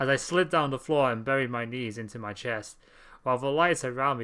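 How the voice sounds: Here the reading voice sounds natural. Pitch rises and falls in an ordinary way.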